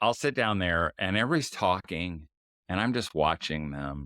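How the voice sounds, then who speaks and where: A loud man with a very deep, low pitch and lively intonation is heard in a very clean recording with a silent background. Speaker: author and speaker for fathers. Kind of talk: interview.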